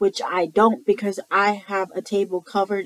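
A woman at a very slow pace, in a dry sound with no echo. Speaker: vlogger. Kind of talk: casual vlog chat. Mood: annoyed, ranting. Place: home room. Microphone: webcam.

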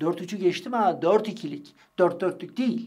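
Against a quiet background, the speaker moves at a moderate pace with lively intonation. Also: man. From Turkey. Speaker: street interviewer and political commentator; street interviewer, political commentator. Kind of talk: monologue commentary on interview clips. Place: studio.

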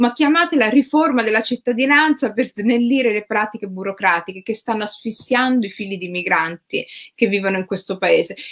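A woman speaks at a fairly quick pace and a fairly high pitch with lively intonation, in a dry, close sound with no echo. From Rome, Italy. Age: 40s. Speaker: writer. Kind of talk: interview conversation. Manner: halting, many fillers.

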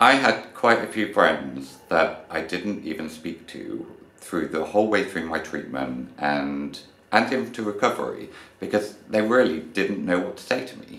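Over noticeable background noise, a man with a British accent talks at a fairly slow pace and fairly low pitch, with lively intonation and big swings in loudness. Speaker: vlogger. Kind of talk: personal testimony.

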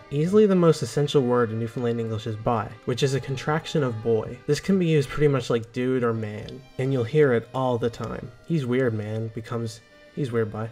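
Background music is audible. Over it, a man speaks fairly quickly. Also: medium pitch for a man, ordinary pitch variation. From Newfoundland, Canada. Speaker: educational video narrator. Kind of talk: educational explainer narration.

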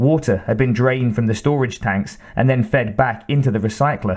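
A man's normal speaking voice, medium in pitch, with ordinary pitch variation and a moderate pace. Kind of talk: audiobook reading aloud. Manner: even, measured narrator's pace.

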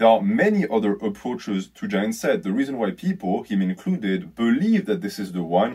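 A man talks at a moderate pace with very wide pitch swings against a quiet background. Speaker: fitness YouTuber. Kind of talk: video commentary. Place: home room. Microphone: phone near.

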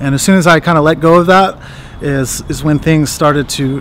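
At a moderate pace, a man talks with ordinary pitch variation in a dry sound with no echo, over light background noise. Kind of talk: casual vlog chat. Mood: reflective, proud. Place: street. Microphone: phone near.

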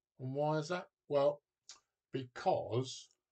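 A somewhat breathy man at a fairly slow pace, over a quiet background. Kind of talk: casual tutorial talk. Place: home room. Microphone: webcam.

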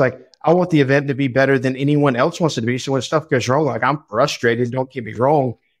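At a fairly quick pace, a man speaks against a quiet background. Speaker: podcast guest. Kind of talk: interview answer.

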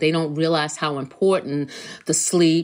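In a very clean recording with a silent background, a woman speaks at a moderate pace in a very deep, low voice with fairly even intonation. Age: 60s. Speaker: health coach. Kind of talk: podcast monologue. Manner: halting.

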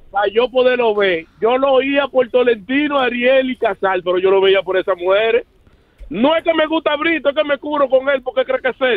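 At a fairly quick pace, a man speaks at an extremely high pitch with ordinary pitch variation, the sound dry and close with no echo.

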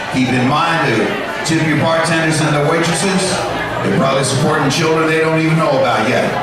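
Loud background noise and audible room echo surround the recording. A man speaks at a fairly quick pace. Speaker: emcee. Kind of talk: stage introduction. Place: stage.

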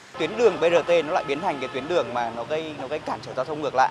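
Very fast, fairly high male speech with ordinary pitch variation over noticeable background noise. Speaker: TV news anchor. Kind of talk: news reading. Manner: formal.

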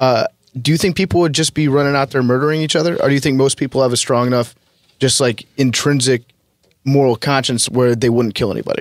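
Over a quiet background, a man speaks very fast with fairly even intonation and very even loudness. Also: dry sound with no echo. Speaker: sports podcast host. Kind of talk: casual chat. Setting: studio. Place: studio. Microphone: studio mic.

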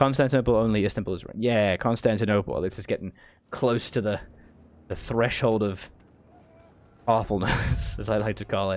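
A man speaks at a moderate pace. His pitch is fairly low, with ordinary pitch variation.

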